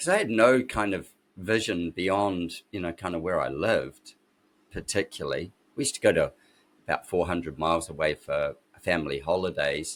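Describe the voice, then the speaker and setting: A man with a New Zealand accent speaks at a very deep, low pitch with ordinary pitch variation. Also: moderate pace. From New Zealand (Christchurch, Wellington). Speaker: architect and designer. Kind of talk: interview, life story. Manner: casual, halting with fillers.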